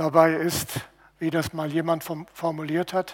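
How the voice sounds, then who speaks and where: A man is talking here. His voice runs fairly high in pitch. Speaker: preacher. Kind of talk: sermon. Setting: church. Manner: earnest, teaching, steady.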